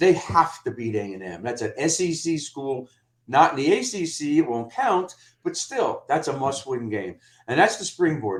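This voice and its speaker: A man with a fairly high pitch and vocal fry speaks with very wide pitch swings and big swings in loudness. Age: 60s. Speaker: college football commentator, attorney. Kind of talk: podcast debate.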